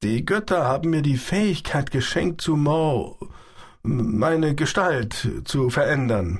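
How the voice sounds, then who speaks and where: Against a quiet background, a man speaks at a very slow pace in a calm, dramatic tone, his fairly high, somewhat breathy voice making very wide pitch swings. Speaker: audiobook narrator. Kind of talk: dramatic audiobook narration, first-person reading of a sci-fi novel. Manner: vivid, dramatic, shifting between wry confiding and tense; calm, measured storyteller pace with quoted dialogue voiced in character.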